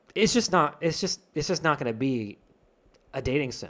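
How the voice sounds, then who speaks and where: Over a silent background in a very clean recording, a man talks at a fairly quick pace with lively intonation. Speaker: indie game developer streamer. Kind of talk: live stream chat discussion, reading viewer comments. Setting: live stream. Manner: loud, expressive; hesitant, many fillers and restarts.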